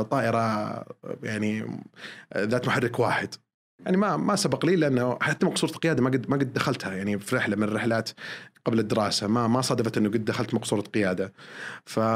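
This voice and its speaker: Pitched at a medium level, a man talks in a plain, everyday voice. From Saudi Arabia, Eastern Province. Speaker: airline pilot. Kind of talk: podcast interview. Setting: studio.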